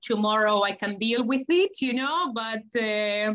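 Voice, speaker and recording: Speaking at a fairly slow pace, a woman with a Spanish accent has a bright, sharp tone. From Argentina. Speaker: chef and food sales manager. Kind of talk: casual chat.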